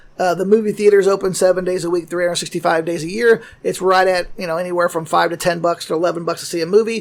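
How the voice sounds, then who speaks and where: The speaker has an American accent and talks at a very fast pace with hardly any pauses. The intonation stays fairly even. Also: man, high pitch for a man. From St. Louis, Missouri. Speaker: wrestling and convention promoter. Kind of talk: casual chat. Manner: halting, with many fillers.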